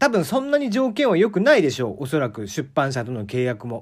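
Very wide pitch swings from a man, on a very clean recording with a silent background. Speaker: podcast host. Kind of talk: casual solo talk.

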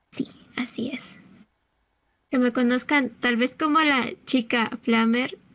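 A woman at high pitch, very slow pace and fairly even intonation, with long, frequent pauses. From Mexico City. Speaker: gamer and cosplayer. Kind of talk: casual chat.

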